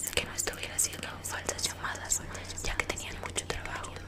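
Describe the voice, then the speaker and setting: A woman speaking at a moderate pace. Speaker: ASMR storyteller. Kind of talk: horror story narration for an ASMR collaboration. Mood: eerie, suspenseful. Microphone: earbuds.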